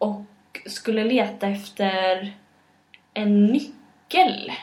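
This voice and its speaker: The woman's fairly high voice shows ordinary pitch variation. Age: 20s. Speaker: podcast co-host. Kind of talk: casual chat. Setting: home kitchen.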